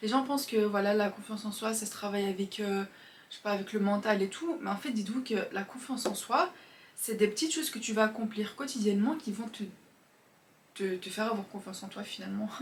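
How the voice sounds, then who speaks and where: Speech moves at a fairly quick pace with ordinary pitch variation. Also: woman, fairly high pitch for a woman. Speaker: self-improvement youtuber. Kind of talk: casual monologue. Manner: fast.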